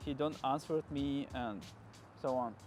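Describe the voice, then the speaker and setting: The speaker has a non-native accent and talks at a fairly slow pace, with ordinary pitch variation. Music plays in the background. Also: man. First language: not English. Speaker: car YouTuber. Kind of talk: casual vlog storytelling. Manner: halting.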